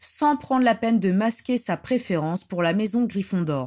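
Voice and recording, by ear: Here the speaker is reading aloud in a natural voice.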